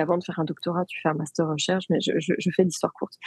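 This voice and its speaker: The sound here is dry and close, with no echo. It is a woman talking. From France. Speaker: AI and education entrepreneur. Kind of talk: podcast interview. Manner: hesitant, many fillers and repetitions.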